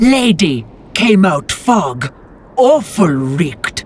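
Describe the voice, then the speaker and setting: A put-on character voice at a middle pitch, very slow, with very wide pitch swings. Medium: video game. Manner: broken grammar, halting.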